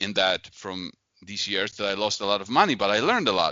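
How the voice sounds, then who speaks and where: A man's fairly low voice with a Polish accent at a fairly quick pace. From Poland. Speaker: investor and author. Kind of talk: interview.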